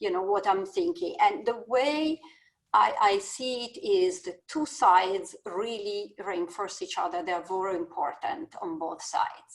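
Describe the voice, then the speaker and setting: A woman with an Italian accent, medium pitch, very wide pitch swings and a fairly slow pace. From Italy. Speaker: business school dean. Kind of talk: panel discussion.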